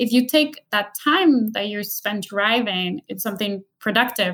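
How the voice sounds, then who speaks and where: With an American accent, a woman uses an ordinary speaking voice at a medium pitch, a moderate pace and ordinary pitch variation. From Colombia (Bogota), raised later in US. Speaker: engineer and business executive. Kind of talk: interview.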